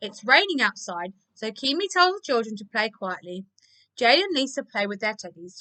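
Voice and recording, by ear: A natural voice reading aloud over a quiet background.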